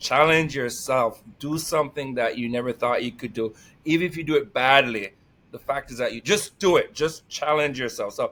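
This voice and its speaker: A man with a Jamaican accent and a fairly high pitch speaks energetically at a moderate pace with ordinary pitch variation, on a very clean recording with a silent background. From Jamaica, Saint Mary. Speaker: employment specialist and life coach. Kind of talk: casual interview chat.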